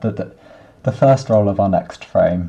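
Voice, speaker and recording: Quiet and fairly low in pitch, a man's voice comes through. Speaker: software developer. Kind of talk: coding tutorial screencast. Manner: monotonous; quiet, low volume.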